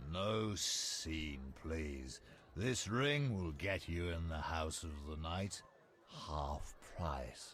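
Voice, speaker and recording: Clear background noise sits behind a man doing a put-on character voice. He speaks very slowly at a very deep, low pitch. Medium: video game.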